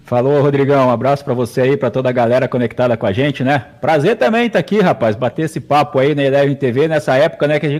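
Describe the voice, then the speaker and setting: This man speaks at a very fast pace in a fairly high pitch. His pitch varies in an ordinary way. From Paraná, Brazil (Ponta Grossa). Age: 40s. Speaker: sports announcer and radio broadcaster. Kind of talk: casual interview.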